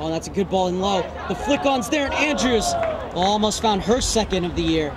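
The speech moves at a moderate pace. Crowd noise sounds in the background. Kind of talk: live sports commentary, play-by-play over match highlights.

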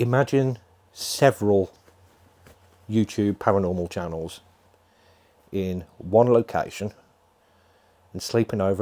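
A man's dark, mellow voice at a fairly low pitch, with long, frequent pauses. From England. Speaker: paranormal YouTuber. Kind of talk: pre-recorded announcement. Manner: animated. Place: home room. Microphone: lapel.

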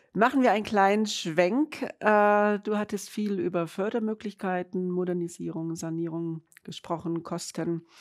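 With an unremarkable speaking voice, a woman talks at a fairly slow pace and medium pitch with ordinary pitch variation against a quiet background. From Munich, Bavaria; Bavaria. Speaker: webinar moderator. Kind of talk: webinar moderation. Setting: studio, standing with colleagues. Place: studio. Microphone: lapel.

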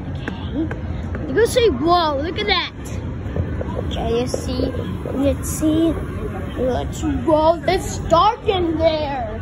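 Very slow pace with long, frequent pauses, crowd noise in the background, and dry sound with no echo. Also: woman. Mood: playful, excited. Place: street. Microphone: phone near.

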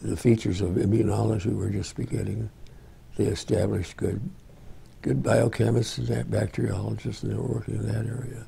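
A dark, mellow voice with vocal fry moves at a fairly quick pace through very wide pitch swings. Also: man, very deep, low pitch for a man. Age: 90s. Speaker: retired physician. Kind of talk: reminiscence interview. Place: home room.

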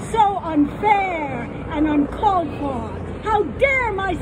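The pitch swings very widely. Crowd noise sounds in the background. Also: woman. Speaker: poet. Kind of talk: poem reading, reflective. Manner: slow, measured, wistful. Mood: wry, humorous. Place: stage.

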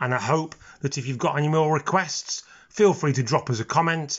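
A somewhat breathy man speaks at a moderate pace in a fairly high pitch with ordinary pitch variation. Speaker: maths teacher. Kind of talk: educational maths explanation, casual talk to camera. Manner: relaxed, low-key, informal.

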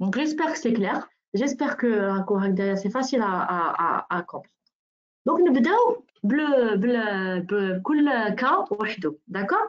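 The woman's pitch is fairly high and swings very widely. She talks at a moderate pace. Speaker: nutritionist and wellness consultant. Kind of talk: webinar presentation.

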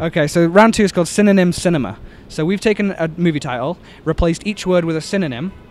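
A man speaks in a high voice with an English accent, at a very fast pace. His pitch varies in an ordinary way, and the sound is dry with no echo. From England. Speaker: quiz podcast host. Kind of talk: street quiz game. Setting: outdoors. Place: street.

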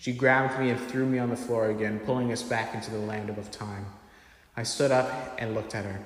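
Intonation stays fairly even. The delivery is a natural reading voice.

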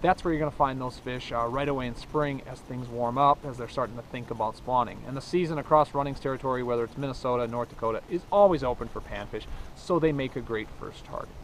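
A man talks at a very fast pace with hardly any pauses and ordinary pitch variation, the sound dry with no echo and light background noise behind him. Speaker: outdoor show host. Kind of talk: tutorial. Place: waterside.

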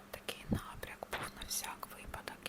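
Noticeable noise fills the background. Over it, a woman whispers. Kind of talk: ASMR unboxing, casual talk to camera. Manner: slow, gentle, repetitive.

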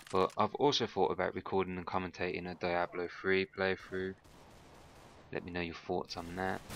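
A man speaks at a moderate pace with a very deep, low pitch and monotone, flat intonation. The sound is dry with no echo, with light background noise. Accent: Birmingham. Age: 20s. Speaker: gaming youtuber. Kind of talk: gameplay commentary. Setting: home recording with microphone.

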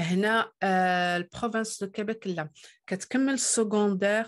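The setting behind her is quiet. A woman keeps a moderate pace, her pitch varying in an ordinary way. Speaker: immigration YouTuber. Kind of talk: tutorial. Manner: hesitant with frequent fillers.

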